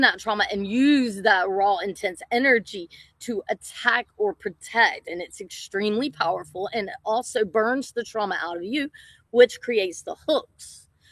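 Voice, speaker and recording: A woman's normal speaking voice, fairly high in pitch, at a fairly slow pace with ordinary pitch variation, in a dry, close sound with no echo. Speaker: shaman. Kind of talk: casual chat.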